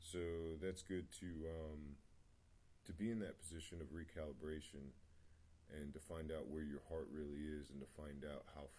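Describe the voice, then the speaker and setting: A man mumbling in a very deep, low, dark and mellow voice, at a fairly slow pace, with audible room echo. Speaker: spiritual vlogger. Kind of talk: personal testimony. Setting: home meditation spot. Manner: hesitant, many fillers.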